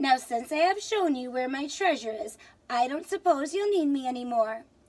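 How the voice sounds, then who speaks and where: A woman uses a put-on character voice with a high pitch, speaking at a moderate pace. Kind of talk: bedtime story. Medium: read story.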